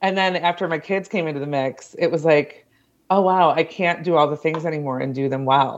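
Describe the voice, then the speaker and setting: Over a quiet background, a woman with an American accent speaks at a fairly low pitch with fairly even intonation. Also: fairly quick pace. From US Midwest (Ohio). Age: 40s. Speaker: creative life and leadership coach. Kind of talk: casual interview chat.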